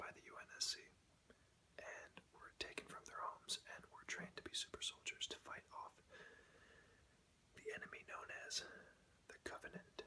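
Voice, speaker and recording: A man whispers at a moderate pace, with long, frequent pauses. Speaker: ASMR creator. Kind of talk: ASMR show and tell. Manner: whispered.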